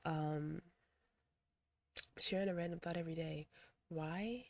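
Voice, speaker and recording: The woman's voice sits at a fairly low pitch with a dark, mellow tone. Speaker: video blogger and poet. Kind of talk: casual vlog monologue. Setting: close to the camera. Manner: halting, with self-corrections.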